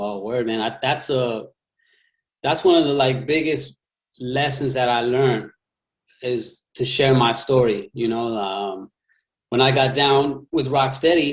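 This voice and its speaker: A man talks at a fairly slow pace with an American accent. His pitch variation is ordinary, and he takes long, frequent pauses. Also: medium pitch for a man. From Texas, El Paso. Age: 40s. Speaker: breakdancer and MC. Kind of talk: interview.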